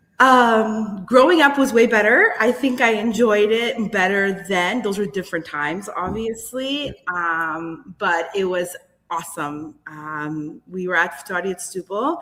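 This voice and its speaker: With a Canadian accent, a woman speaks at medium pitch with lively intonation, fairly slowly and with hardly any pauses. Music plays in the background. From Greater Toronto Area, Canada (Portuguese-Azorean family). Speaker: community member and carnival participant. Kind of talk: podcast interview.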